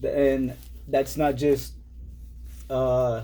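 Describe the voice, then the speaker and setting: There is audible room echo. A man speaks at a very slow pace. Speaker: comic book collector vlogger. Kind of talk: casual haul video. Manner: halting, many fillers.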